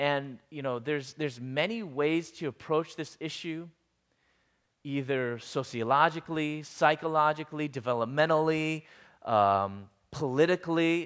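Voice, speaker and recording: A man's plain, everyday voice with an American accent, fairly high in pitch with ordinary pitch variation, at a moderate pace over a quiet background. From US Midwest, Chicago suburbs. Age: 40s. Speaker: guest speaker. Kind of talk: sermon.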